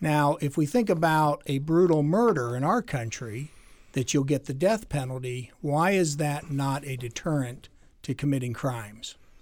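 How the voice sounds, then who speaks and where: A man speaks in a plain, everyday voice at a moderate pace. His fairly high pitch moves with lively intonation. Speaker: podcast host, lawyer. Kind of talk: casual interview.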